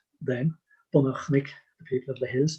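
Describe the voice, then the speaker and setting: The man's pitch is fairly high and his tone dark and mellow. He sounds somewhat breathy, with fairly even intonation. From Ireland. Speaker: storyteller and folklore collector. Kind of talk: interview answer.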